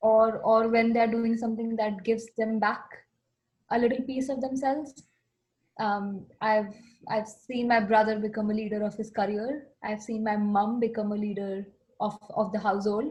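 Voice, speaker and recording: Somewhat breathy, a woman with a fairly high pitch speaks at a moderate pace in a monotone, flat intonation. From India. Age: 20s. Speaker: interview guest. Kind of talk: casual conversation.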